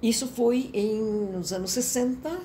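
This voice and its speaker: Over noticeable background noise, a woman speaks with a fairly high pitch and ordinary pitch variation. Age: 80s+. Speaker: professor emerita of communication. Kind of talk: interview answer.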